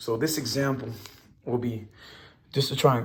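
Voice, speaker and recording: Somewhat breathy, a man's voice comes through with audible room echo. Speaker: math teacher. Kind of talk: lecture. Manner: fast; animated.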